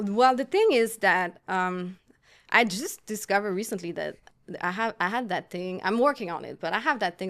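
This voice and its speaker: A woman with a Quebec accent speaks at a moderate pace in a medium pitch. Her pitch varies in an ordinary way, and the recording is very clean with a silent background. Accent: French Canadian accent in English. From Quebec, Montreal. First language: French. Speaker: artist. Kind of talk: casual chat. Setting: studio. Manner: halting.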